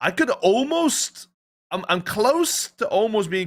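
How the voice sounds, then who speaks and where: A man is speaking. He has a Dutch accent. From Netherlands. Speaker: esports podcast co-host. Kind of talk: casual chat. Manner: animated.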